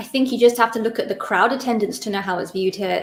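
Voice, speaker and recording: A woman with an English accent speaks at a fairly high pitch. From Britain. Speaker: cricket panelist. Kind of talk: casual chat. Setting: live stream recording.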